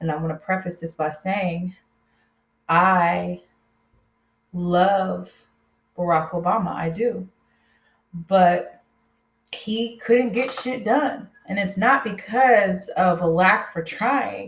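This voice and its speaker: A woman speaks very slowly with an American accent. Her voice is somewhat breathy, broken by long, frequent pauses. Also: medium pitch for a woman, ordinary pitch variation. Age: 30s. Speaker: YouTuber. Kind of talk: casual chat. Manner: casual, filler-heavy.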